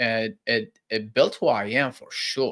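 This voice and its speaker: A man speaks with an Iraqi accent. The recording is very clean, with a silent background. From Baghdad, Iraq. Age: 30s. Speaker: real estate entrepreneur. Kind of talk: interview storytelling.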